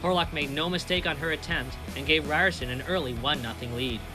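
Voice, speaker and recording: Against music in the background, a man talks at a fairly quick pace with ordinary pitch variation. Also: fairly high pitch for a man. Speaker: broadcast reporter. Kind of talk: broadcast news and sports reporting.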